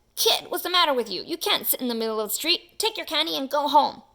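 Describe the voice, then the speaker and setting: Using a put-on character voice, a woman talks very fast in a high pitch. Her voice makes very wide pitch swings. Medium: read story.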